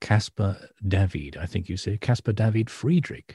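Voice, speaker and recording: Somewhat breathy, a man speaks at a fairly low pitch with a dark, mellow tone. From northern England. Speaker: art historian and podcast co-host. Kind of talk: casual chat.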